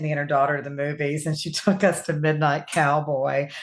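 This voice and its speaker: In a Southern US accent, a woman talks at a fairly quick pace. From US South. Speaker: author. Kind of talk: interview.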